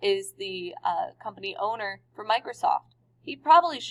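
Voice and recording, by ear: Natural-voiced reading aloud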